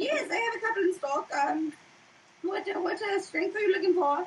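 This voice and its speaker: A squeaky, put-on character voice rises to an extremely high pitch. Its pace is moderate. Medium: actual play. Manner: polite, businesslike.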